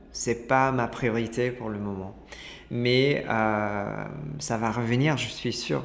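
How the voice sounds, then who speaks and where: The speaker goes at a very slow pace with ordinary pitch variation, amid noticeable background noise and audible room echo. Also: man, medium pitch for a man. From Italy, Milan. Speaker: designer and ceramicist. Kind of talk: interview. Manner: halting, many repetitions.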